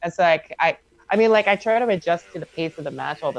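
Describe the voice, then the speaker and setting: At a fairly quick pace, the speaker goes on with music in the background. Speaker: esports commentator. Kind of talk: casual chat. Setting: live stream. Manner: clearly enunciated.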